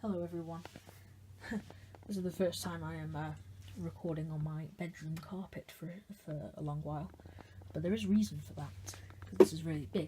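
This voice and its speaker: The voice is soft-spoken and moves at a fairly quick pace. Long, frequent pauses break it up. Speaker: hobbyist video maker. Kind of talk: casual tutorial demonstration. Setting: bedroom at night. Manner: quiet, talking softly late at night; hesitant, with fillers.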